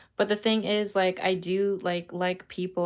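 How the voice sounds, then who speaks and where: At a fairly slow pace, a woman with a medium pitch speaks in a flat, monotone intonation. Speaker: tarot reader. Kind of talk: live stream chat. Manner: casual, rambling with fillers.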